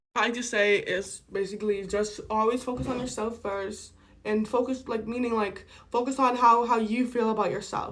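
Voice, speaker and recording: Using an ordinary speaking voice, a woman with a fairly high pitch talks at a moderate pace with fairly even intonation. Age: 20s. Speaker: vlogger. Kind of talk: casual chat.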